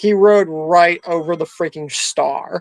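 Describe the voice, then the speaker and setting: A man speaks quietly with ordinary pitch variation, the sound dry and close with no echo. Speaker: YouTuber streaming games and chatting. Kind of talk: casual live stream chat while gaming.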